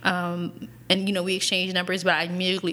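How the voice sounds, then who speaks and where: In an American accent, a woman talks at a very fast pace. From Lancaster, Pennsylvania (earlier Arizona). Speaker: podcast co-host. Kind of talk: casual chat.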